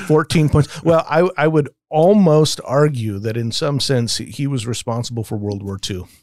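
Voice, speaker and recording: With an American accent, a man with an unremarkable speaking voice talks at a fairly high pitch and a moderate pace, his intonation lively and hardly any pauses. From Las Vegas, US. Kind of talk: casual discussion.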